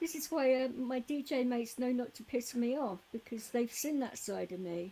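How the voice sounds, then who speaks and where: A soft-spoken woman's high voice, dark and mellow in tone, with ordinary pitch variation. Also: moderate pace. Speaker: live streamer, DJ. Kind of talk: casual chat.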